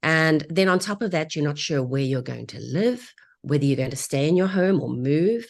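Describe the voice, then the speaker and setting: Against a quiet background, a woman with a South African accent speaks with lively intonation. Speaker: divorce real estate agent. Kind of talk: webinar interview. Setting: live online broadcast.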